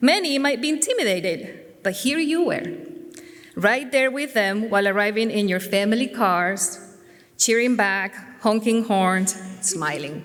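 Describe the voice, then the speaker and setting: A woman with a Spanish accent speaks at a fairly slow pace in a fairly high pitch, her intonation lively, with audible room echo. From Spain. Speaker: teacher. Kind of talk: speech. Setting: church. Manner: formal.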